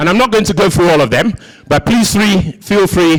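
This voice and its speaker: This man's voice has vocal fry and lively intonation. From Nigeria. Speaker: conference speaker. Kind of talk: conference presentation.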